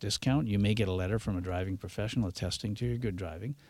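A man with a Canadian accent speaks in a normal speaking voice at a fairly low pitch with ordinary pitch variation. The recording is very clean, with a silent background. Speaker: driving instructor. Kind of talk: radio interview. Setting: studio.

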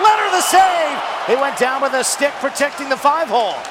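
Over noticeable background noise, a man speaks at an extremely high pitch with lively intonation and a moderate pace. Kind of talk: live play-by-play commentary call of a hockey goal.

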